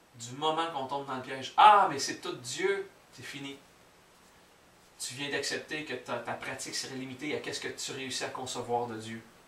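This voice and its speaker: A man with a Quebec accent talks at a moderate pace and a fairly high pitch, with ordinary pitch variation and big swings in loudness. Long, frequent pauses break his speech over noticeable background noise. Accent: Québécois French. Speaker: spiritual teacher. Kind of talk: spiritual teaching talk to an audience.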